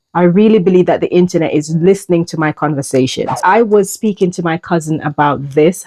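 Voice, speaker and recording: This is a woman speaking with a Jamaican accent. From Jamaica, rural countryside. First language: Jamaican Patois. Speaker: YouTuber. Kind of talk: personal vlog. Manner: halting.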